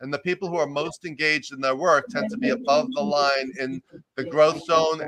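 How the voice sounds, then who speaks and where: A man with a New York accent speaks at a fairly high pitch. His pace is fairly quick and his intonation lively. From US, New York. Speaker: executive coach and professor. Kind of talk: interview. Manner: loud and fast.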